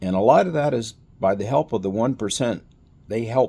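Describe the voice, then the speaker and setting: A man's dark, mellow tone with a Texan accent, moderate pace and ordinary pitch variation, on a very clean recording over a silent background. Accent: Texan American. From Texas. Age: old. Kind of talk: casual political talk to camera.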